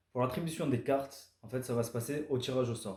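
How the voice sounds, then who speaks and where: A man speaks with a southern French accent, his pitch medium. His tone is dark and mellow, and somewhat breathy. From southern France. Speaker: amateur karting driver and vlogger. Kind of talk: scripted vlog narration. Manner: casual, conversational.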